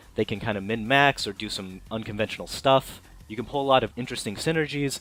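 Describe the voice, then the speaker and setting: Over background music, a man with a medium-pitched voice talks at a very fast pace with ordinary pitch variation. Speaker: game reviewer. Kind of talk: game review commentary. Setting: low-quality microphone.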